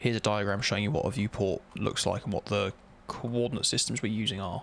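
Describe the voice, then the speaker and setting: A man talks at a very fast pace. His voice is fairly low with fairly even intonation. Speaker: game developer streamer. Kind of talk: live coding stream, thinking aloud. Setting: live stream. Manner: halting, reading documentation aloud.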